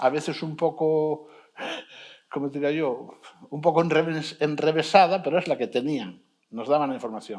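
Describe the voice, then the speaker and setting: A man talks at a moderate pace with a fairly high pitch. He speaks in an Asturian accent. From Asturias, Spain. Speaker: sociologist researcher. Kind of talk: panel discussion. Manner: halting, self-correcting.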